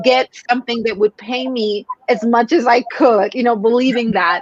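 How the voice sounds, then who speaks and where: In a Spanish accent, a woman speaks at a moderate pace with a fairly high pitch and ordinary pitch variation. The sound is dry and close, with no echo. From Mexico. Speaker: sales coach. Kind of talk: podcast interview.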